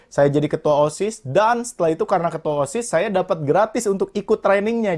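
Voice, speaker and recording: A man talks at a moderate pace in an unremarkable speaking voice. The recording is very clean, with a silent background. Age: 20s. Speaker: motivational speaker and entrepreneur. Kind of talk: interview.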